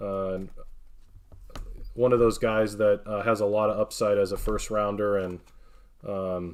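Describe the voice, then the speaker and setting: A man with an American accent speaks at a fairly slow pace in a monotone, flat intonation. Long, frequent pauses break up his speech. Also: fairly low pitch for a man. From northern Wisconsin, US. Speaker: card breaker streamer. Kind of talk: live stream card opening commentary.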